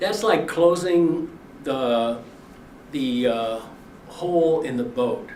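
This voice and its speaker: A man speaks with ordinary pitch variation. Audible room echo and noticeable background noise accompany him. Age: 80s+. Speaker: farmer and activist. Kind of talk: speech. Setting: briefing before lawmakers.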